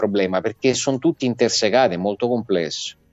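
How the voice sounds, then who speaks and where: A man talks at a fairly quick pace with a fairly low pitch and fairly even intonation. Faint music sits in the background, and the sound is dry with no echo. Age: 50. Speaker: political commentator. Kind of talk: talk show discussion. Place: home room. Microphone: earbuds.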